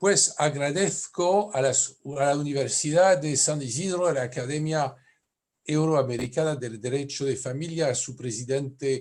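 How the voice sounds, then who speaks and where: At a fairly slow pace, a man with a French accent talks at a fairly high pitch with ordinary pitch variation. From France. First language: French (speaking Spanish). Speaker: family lawyer, conference speaker. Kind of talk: conference lecture.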